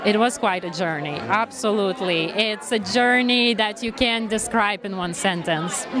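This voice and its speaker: A woman with a Lithuanian accent, fairly high in pitch with ordinary pitch variation, at a moderate pace with hardly any pauses, amid crowd noise in the background and audible room echo. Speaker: actress. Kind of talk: red carpet interview.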